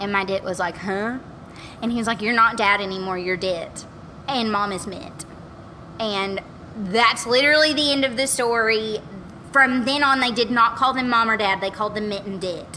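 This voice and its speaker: Over noticeable background noise, a woman with an American accent speaks in a fairly high voice with ordinary pitch variation. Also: moderate pace. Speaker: podcast guest. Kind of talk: casual chat. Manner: animated.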